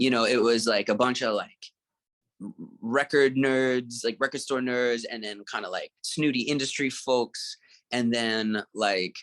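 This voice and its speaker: A man at medium pitch speaks at a fairly slow pace with fairly even intonation. The sound is dry and close with no echo, and the background is quiet. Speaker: soul singer and songwriter. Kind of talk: interview answer. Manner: soft-spoken.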